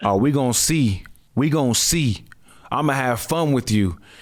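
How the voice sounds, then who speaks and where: Using a raspy, put-on character voice at medium pitch, a man speaks at a moderate pace. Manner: menacing, slow, threatening.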